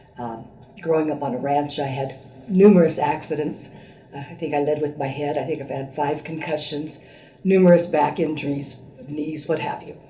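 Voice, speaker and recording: A woman with a very deep, low pitch and fairly even intonation speaks at a moderate pace, with big swings in loudness and audible room echo. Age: 70s. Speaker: patient. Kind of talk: testimony. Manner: hesitant, many fillers.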